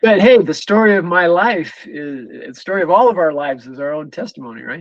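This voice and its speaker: Here a man talks at a fairly quick pace. His pitch is high. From US, moved around (Ohio, Utah, Texas, Tennessee, Pennsylvania). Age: 60s. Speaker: church member, interview guest. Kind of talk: casual chat. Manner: halting, many repetitions and fillers.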